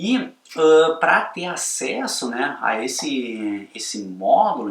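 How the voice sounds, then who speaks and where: Fairly high-pitched, a man's voice moves through very wide pitch swings. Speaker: photography course instructor. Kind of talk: sales pitch.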